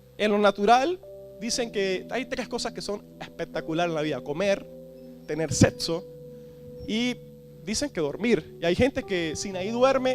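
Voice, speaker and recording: With a Venezuelan Andean accent, the speaker uses lively intonation at a fairly slow pace, leaving long, frequent pauses over music in the background. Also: man, high pitch for a man. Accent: Venezuelan Andean (gocho). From Venezuelan Andes (Táchira/Mérida/Trujillo). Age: 20s. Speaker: church leader / preacher. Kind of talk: sermon. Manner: animated.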